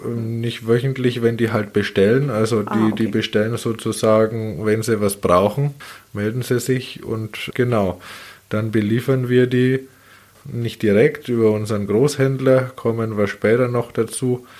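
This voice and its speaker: This man has an ordinary speaking voice with a medium pitch. He speaks at a fairly slow pace with fairly even intonation. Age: 30s. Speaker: baker and business owner. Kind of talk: interview conversation.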